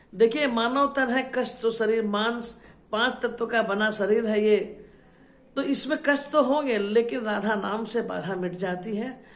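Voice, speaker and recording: A woman with an ordinary speaking voice talks at a fairly high pitch, with ordinary pitch variation. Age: 60s. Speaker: religious storyteller. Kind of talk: devotional storytelling. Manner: repetitive, emotive.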